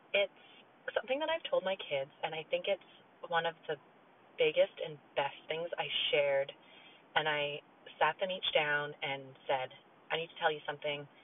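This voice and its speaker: A woman speaks at a moderate pace in a very deep, low pitch, with ordinary pitch variation. Her pauses are long and frequent. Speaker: parenting podcast host. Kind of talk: casual monologue. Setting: in a car.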